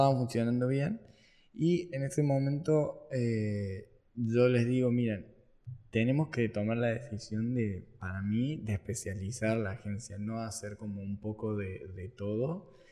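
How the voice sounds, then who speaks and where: A man talks at a fairly slow pace and medium pitch in an ordinary speaking voice with ordinary pitch variation. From Argentina, Córdoba. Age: 20s. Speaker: marketing entrepreneur. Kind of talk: casual interview.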